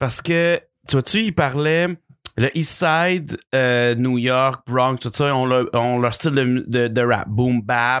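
Speaking very slowly at medium pitch with ordinary pitch variation and very even loudness, a man is heard in a very clean recording with a silent background. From Quebec City. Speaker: podcast co-host. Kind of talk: casual chat.

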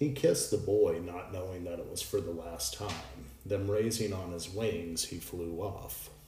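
At a moderate pace, a man with a very deep, low pitch and a dark, mellow tone speaks in a dramatic, somewhat breathy way, with big swings in loudness and ordinary pitch variation. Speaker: podcast host. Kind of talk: mythic narration read aloud from the story, solemn storytelling; podcast monologue, reflective talk. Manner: measured, dramatic, reading-aloud cadence with emotional weight; fluent but with frequent filler 'um' pauses.

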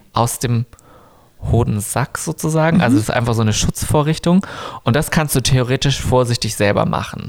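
A man talks fairly quickly in an unremarkable speaking voice at a medium pitch. His loudness stays very even, and his pitch varies in an ordinary way. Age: 30s. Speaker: drag queen. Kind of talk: casual chat.

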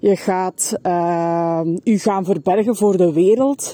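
Very slowly and with a Flemish accent, a woman speaks at medium pitch in a dark, mellow tone with fairly even intonation, the sound dry and close with no echo. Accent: Flemish Dutch. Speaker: podcaster and self-employed business coach. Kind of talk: personal testimony. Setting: walking outdoors in a forest. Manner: hesitant, many filler sounds.

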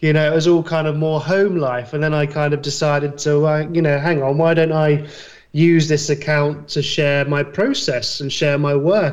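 In audible room echo, a man with a British accent speaks with a fairly high pitch and a monotone, flat intonation. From UK. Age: 30s. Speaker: graphic designer. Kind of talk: casual chat.

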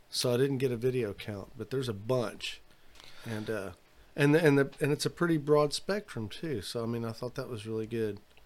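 Man with an ordinary speaking voice, medium pitch, ordinary pitch variation and a fairly quick pace. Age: 50s. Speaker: podcast host. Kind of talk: casual interview chat. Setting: studio.

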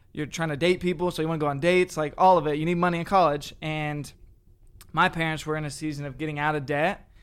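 Very fast delivery in a monotone, flat intonation. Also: man, fairly high pitch for a man. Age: 20s. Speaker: former youth pastor. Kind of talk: testimony.

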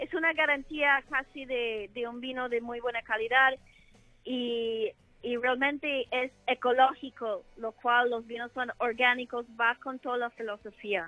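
A woman's high-pitched voice with an English accent, fairly even intonation and a fairly slow pace. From United States. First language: English (speaking Spanish). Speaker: wine sales manager. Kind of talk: interview. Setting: phone call. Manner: hesitant.

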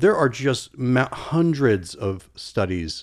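A man speaks at a medium pitch with an American accent. His pitch swings very widely. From Virginia, Norfolk area. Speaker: psychologist. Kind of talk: casual chat.

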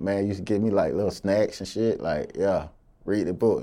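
At a moderate pace, a man speaks at a fairly low pitch in a dark, mellow tone. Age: 30s. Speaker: rapper. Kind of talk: interview.

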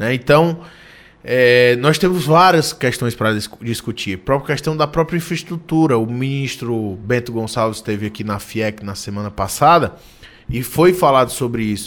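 With a plain, everyday voice, a man speaks at a medium pitch with lively intonation. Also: moderate pace. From Ceará interior, Brazil (Ipu). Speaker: state politician. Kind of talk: radio interview. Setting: studio.

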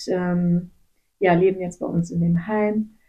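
A woman speaks at a fairly low pitch. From western Germany (Gummersbach). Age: 30s. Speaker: missionary, nurse. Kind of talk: interview, personal testimony. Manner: hesitant, many filler sounds.

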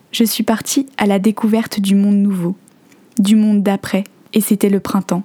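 A woman's somewhat breathy, dark, mellow voice, monotone and flat, at a fairly slow pace, with a dry, close sound and no echo. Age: 20s. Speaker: podcaster. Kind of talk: reading aloud; scripted narration.

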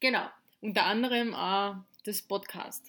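A woman's voice with ordinary pitch variation. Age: 20s. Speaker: podcast co-host. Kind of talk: casual chat.

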